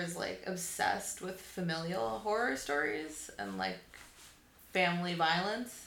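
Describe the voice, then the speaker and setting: A woman with an American accent speaks at a fairly low pitch and a fairly slow pace, her pitch swinging very widely. Audible room echo and noticeable background noise surround her voice. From Boston, US Northeast. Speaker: sculptor. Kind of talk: casual chat.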